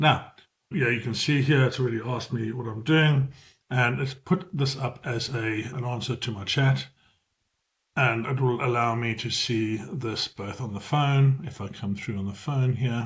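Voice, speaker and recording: This man speaks with a South African accent at a medium pitch. His voice is somewhat breathy. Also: ordinary pitch variation. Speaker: business AI trainer. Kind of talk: tutorial. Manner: fast; hesitant, with fillers.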